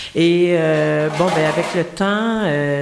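Ordinary pitch variation from a woman against noticeable background noise. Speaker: guest cook explaining a Quebec recipe. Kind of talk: casual chat.

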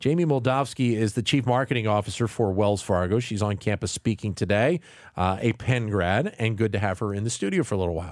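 Hardly any pauses break up this man's speech. He talks at a fairly quick pace with ordinary pitch variation. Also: very clean recording, silent background. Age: 40s. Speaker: radio host. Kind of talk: radio interview. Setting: studio. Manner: halting, repeats words.

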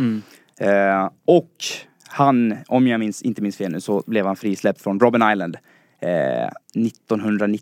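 This is a normal speaking voice with ordinary pitch variation, heard in a dry, close sound with no echo. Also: man. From Dalarna, Sweden (Falun). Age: 20s. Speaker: listener, quiz contestant, student. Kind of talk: casual chat. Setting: studio.

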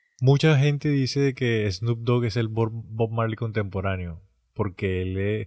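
Over a very clean recording with a silent background, a man of medium pitch talks at a very slow pace with ordinary pitch variation. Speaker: podcast co-host. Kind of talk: casual chat.

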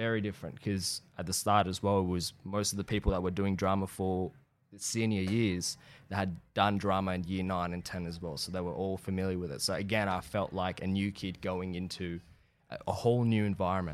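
On a very clean recording with a silent background, a man with an Australian accent speaks at a fairly quick pace in a very deep, low pitch with fairly even intonation. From Iran, then Australia from age eight. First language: Persian. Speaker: actor. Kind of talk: casual chat.

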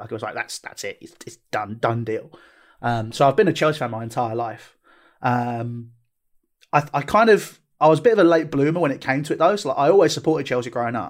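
Speaking with a southern English accent, a man talks at a fairly quick pace and fairly high pitch, with lively intonation and big swings in loudness. The recording is very clean, with a silent background. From southeast England, Tunbridge Wells. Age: 20s. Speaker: football club owner. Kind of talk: casual chat.

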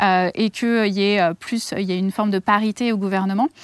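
An ordinary speaking voice with ordinary pitch variation, dry and close with no echo, in a very clean recording with a silent background. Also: woman. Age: 30s. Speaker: activist, head of a petition platform. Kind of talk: interview.

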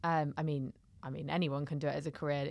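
A London accent in a very clean recording with a silent background. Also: woman. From South London. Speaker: comedian and content creator. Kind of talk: casual chat.

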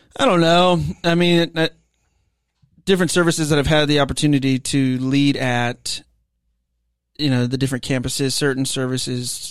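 On a very clean recording with a silent background, a man with a fairly high pitch talks at a moderate pace with fairly even intonation and long, frequent pauses. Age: 30s. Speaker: worship ministry leader, podcast co-host. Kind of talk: casual chat. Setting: small office with sound panels.

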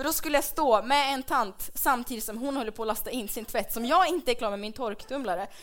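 A woman talks at a fairly quick pace with hardly any pauses, her high voice animated in tone and showing ordinary pitch variation. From Dalarna, Sweden. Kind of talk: comedic live podcast chat. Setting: live stage with audience.

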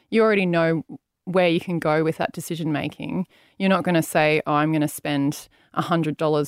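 Over a silent background in a very clean, dry, close recording with no echo, a woman with an Australian accent speaks at a moderate pace with a very deep, low pitch and fairly even intonation. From Brisbane, Australia. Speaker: chief operating officer. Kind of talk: interview. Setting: studio.

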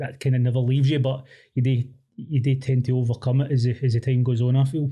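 A man with a Glaswegian accent speaks at a fairly quick pace and a medium pitch. His tone is dark and mellow, and somewhat breathy. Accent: Glaswegian Scottish. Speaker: academic researcher. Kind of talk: casual chat.

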